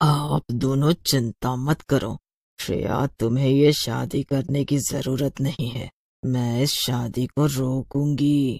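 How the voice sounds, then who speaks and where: A man's cartoonish character voice at a medium pitch and a very slow pace. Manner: taunting, bold.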